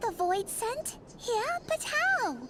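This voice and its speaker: A woman does a squeaky put-on character voice at an extremely high pitch with very wide pitch swings. Loud background noise fills the recording. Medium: video game. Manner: haughty.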